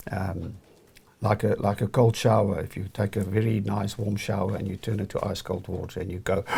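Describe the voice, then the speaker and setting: The voice is somewhat breathy and dark, mellow in tone, moving at a fairly quick pace with monotone, flat intonation. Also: man, fairly low pitch for a man. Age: 60s. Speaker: entrepreneur and former banker. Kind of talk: interview. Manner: halting, with repeated words.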